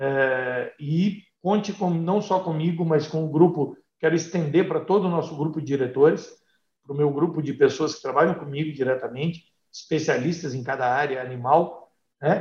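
A man with a plain, everyday voice keeps a moderate pace, his pitch fairly high and its variation ordinary. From Brazil, Paraná (north/northwest interior). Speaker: veterinarian and animal health company executive. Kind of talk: interview.

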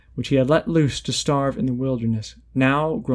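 The voice reads naturally. It is a natural reading voice.

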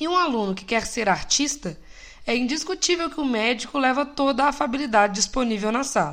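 A woman talks at a fairly quick pace in a high voice with a slight Minas Gerais accent. Her tone is relaxed and her intonation lively. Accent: slight Minas Gerais Brazilian. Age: 20s. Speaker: podcast host, civil engineer. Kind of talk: personal reflective monologue. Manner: casual, light and relaxed.

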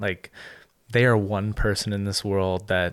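A man with a Canadian accent and an unremarkable speaking voice, fairly low, at a moderate pace, in a dry, close, echo-free sound on a very clean recording with a silent background. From Ottawa, Canada. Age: 20s. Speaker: former pro hockey player. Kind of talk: casual interview.

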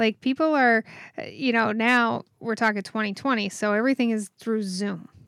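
A woman with an unremarkable speaking voice and fairly high pitch talks at a moderate pace with ordinary pitch variation, the sound dry and close with no echo. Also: very clean recording, silent background. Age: 40s. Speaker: podcast co-host, web designer. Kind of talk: casual chat.

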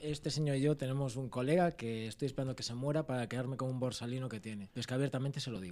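A man with a dark, mellow tone at medium pitch talks at a very fast pace, with hardly any pauses and ordinary pitch variation. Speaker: podcast host. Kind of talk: casual chat.

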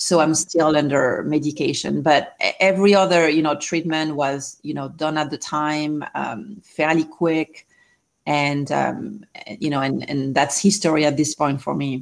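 A woman's very deep, low voice at a fairly slow pace. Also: ordinary pitch variation, very clean recording, silent background. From France. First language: French. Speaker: life coach and cancer survivor. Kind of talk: interview.

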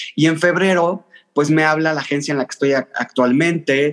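A man speaks at a moderate pace, his pitch fairly high. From Mexico City. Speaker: content creator. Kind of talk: casual interview chat.

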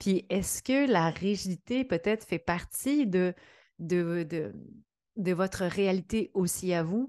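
A woman's dark, mellow, medium-pitched voice with a Quebec accent, very slow in pace, with ordinary pitch variation and very even loudness, dry and close with no echo, over a quiet background. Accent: Québécois French. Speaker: podcast host, entrepreneurship coach. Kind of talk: solo podcast monologue.

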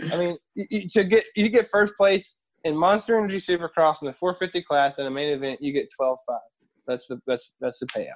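A man with an American accent speaks at a moderate pace in a high pitch with lively intonation. The sound is dry and close, with no echo. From US South, Harrisonburg, Virginia. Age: 30s. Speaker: retired pro motocross racer, motorcycle dealership manager. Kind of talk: casual chat. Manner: halting.

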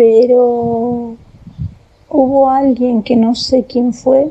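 Through noticeable background noise, a woman speaks at a very slow pace and high pitch in monotone, flat intonation. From Argentina, Tandil. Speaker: storyteller sharing a personal experience. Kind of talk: personal testimony. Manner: halting, with many fillers and repetitions.

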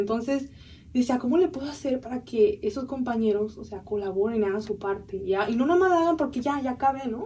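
Her intonation is lively and her pitch is high. This woman speaks at a fairly quick pace. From San Diego border area, US, Mexican-American family. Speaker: university student. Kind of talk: interview.

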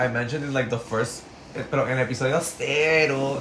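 Noticeable background noise and audible room echo are present. A man speaks at a moderate pace. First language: Spanish. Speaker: podcast co-host. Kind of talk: casual chat.

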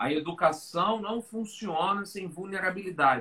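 A man speaks in a raised, projected voice, high-pitched with a bright, sharp tone and ordinary pitch variation. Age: 40s. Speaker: learning designer and speaker. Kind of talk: casual interview on a live stream.

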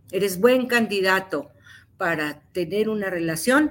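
In a very clean recording with a silent background, a woman with an ordinary speaking voice talks at a fairly slow pace, at medium pitch with ordinary pitch variation. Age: 60s. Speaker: psychotherapist. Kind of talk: interview.

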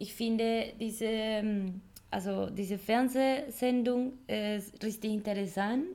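With a Spanish accent, a woman speaks very slowly in a fairly high voice with a dark, mellow tone. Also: ordinary pitch variation. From Colombia. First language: Spanish (speaking German). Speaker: podcast co-host. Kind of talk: casual chat. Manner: halting, searching for words.

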